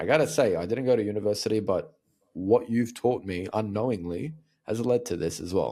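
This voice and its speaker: In an Australian accent, the speaker has a dark, mellow tone and lively intonation at a fairly quick pace. The recording is very clean, with a silent background. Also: man, medium pitch for a man. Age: 30s. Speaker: communication coach. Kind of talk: interview conversation.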